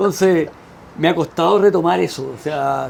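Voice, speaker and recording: A man with a Chilean accent at a moderate pace, over noticeable background noise. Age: 60s. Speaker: veteran volunteer firefighter. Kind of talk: interview.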